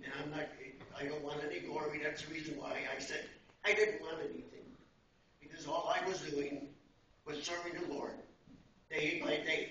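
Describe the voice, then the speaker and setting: The speech moves at a moderate pace with fairly even intonation and long, frequent pauses, set in audible room echo with light background noise. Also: man. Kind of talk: speech with scripture reading. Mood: humble, grateful. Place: church. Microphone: camera far.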